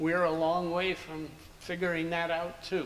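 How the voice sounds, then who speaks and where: An American accent over noticeable background noise. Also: man. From US Northeast (Princeton, New Jersey). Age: 70s. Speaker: anthropologist. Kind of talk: interview.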